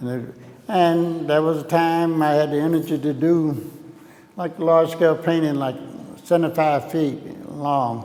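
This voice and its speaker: Speaking slowly with long, frequent pauses, a man with an Alabama accent uses fairly even intonation at a fairly high pitch, with audible room echo and noticeable background noise. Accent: Southern US (Alabama). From US South, Alabama (Tuscaloosa). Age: 70s. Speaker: painter. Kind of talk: artist talk, open dialogue. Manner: halting, many fillers.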